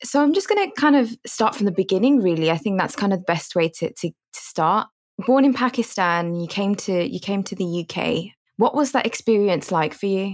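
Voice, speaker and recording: A woman with a plain, everyday voice speaks at a medium pitch and a fairly quick pace, her intonation lively. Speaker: podcast interviewer. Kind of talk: interview.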